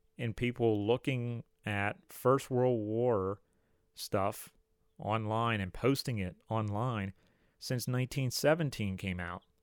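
A man's medium-pitched voice at a very slow pace, dry and close with no echo, on a very clean recording with a silent background. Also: long, frequent pauses. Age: 30s. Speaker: history podcast host. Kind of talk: solo podcast monologue. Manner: casual, with frequent fillers.

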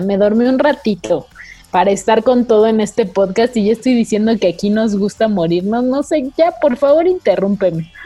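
Talking at a moderate pace, a woman uses a fairly high pitch. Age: 20s. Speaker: podcast host. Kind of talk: casual chat.

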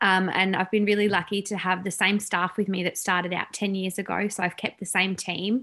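Speaking at a fairly quick pace with hardly any pauses, a woman with an Australian accent uses a medium pitch, a bright, sharp tone and monotone, flat intonation. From Tasmania, Australia. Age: 30s. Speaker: salon owner and business coach. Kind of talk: casual interview chat.

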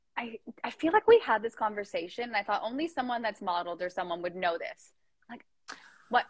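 A somewhat breathy woman at a fairly quick pace, with lively intonation, big swings in loudness, and a dry, close sound with no echo. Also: fairly high pitch for a woman. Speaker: Instagram live podcast host. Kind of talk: casual chat interview. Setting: Instagram live video chat from childhood home.

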